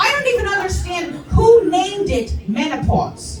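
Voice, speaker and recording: A woman with a New Jersey accent, music in the background. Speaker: stand-up comedian; veteran. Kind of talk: stand-up comedy set.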